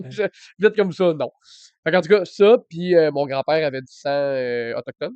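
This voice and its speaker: A man with a fairly high voice speaks at a moderate pace with lively intonation. His loudness rises and falls in big swings. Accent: Quebec. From Quebec, Mauricie (Trois-Rivières area). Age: 20s. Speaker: content creator. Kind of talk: casual chat. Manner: halting, many fillers.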